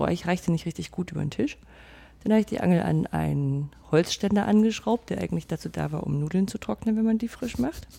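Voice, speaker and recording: Her dark, mellow tone sits fairly low for a woman, and she speaks at a fairly quick pace. The recording is very clean against a silent background. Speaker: podcaster. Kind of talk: casual chat.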